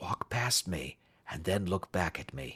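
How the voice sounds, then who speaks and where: A man whispers quietly in a raspy, put-on character voice. He goes at a fairly slow pace, the sound dry and close with no echo. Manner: low whisper.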